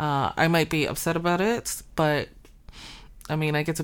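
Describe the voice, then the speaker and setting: A woman with a plain, everyday voice and a fairly low pitch speaks at a fairly slow pace with a Canadian accent, on a very clean recording with a silent background. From Calgary, Canada. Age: 40s. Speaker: comedian and anti-racism advocate. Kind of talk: interview conversation.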